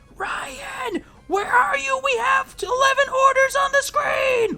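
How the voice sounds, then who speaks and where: A put-on character voice, shouting at a fairly slow pace with an extremely high, nasal pitch over clear background music. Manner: loud, shouting, stressed.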